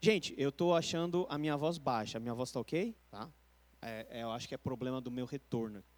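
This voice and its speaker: This man has a medium-pitched voice and lively intonation. He keeps a moderate pace. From Brazil. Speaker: pastor. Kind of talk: Bible study lecture. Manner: conversational.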